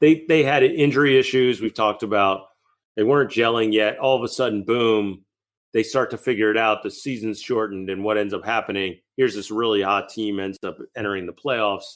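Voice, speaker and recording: In an ordinary speaking voice with an American accent, a man speaks at a fairly quick pace and medium pitch with ordinary pitch variation, on a very clean recording with a silent background. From Massachusetts. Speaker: basketball podcast co-host. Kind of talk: casual chat.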